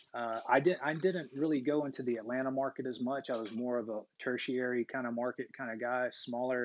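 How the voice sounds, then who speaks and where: An unremarkable speaking voice: a man with an American accent, medium pitch, fairly even intonation, a fairly quick pace and hardly any pauses. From US South, Georgia. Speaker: real estate investor. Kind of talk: casual interview.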